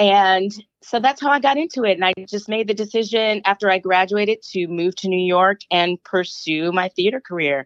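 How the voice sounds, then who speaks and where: In a quiet background and a dry, close sound with no echo, a woman with an American accent and a normal speaking voice talks at a moderate pace, medium in pitch with lively intonation. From Flint, Michigan. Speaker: musical theatre actress. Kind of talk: interview.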